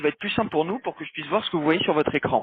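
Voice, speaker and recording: A man is speaking in a high register. The rise and fall of his pitch is ordinary. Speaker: phone support agent. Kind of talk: phone call guidance. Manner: fast.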